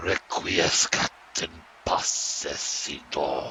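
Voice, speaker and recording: A man performs a put-on character voice. Clear background noise runs beneath it. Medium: audio drama. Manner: cold, sardonic.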